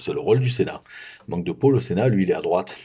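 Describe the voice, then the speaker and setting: Vocal fry colors a man's fairly low voice. His pitch swings very widely. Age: 60s. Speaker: activist vlogger. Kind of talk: political commentary monologue. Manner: hesitant, many fillers.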